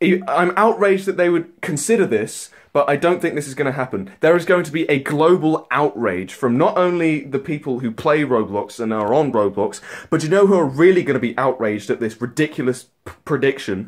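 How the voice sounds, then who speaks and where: A man talks in a British accent. He hardly pauses at all. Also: fairly high pitch for a man, lively intonation, fairly quick pace. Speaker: YouTuber. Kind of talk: rant. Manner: animated; stumbling over words.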